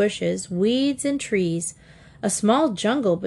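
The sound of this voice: The reading voice is unforced, and its intonation moves in a lively way.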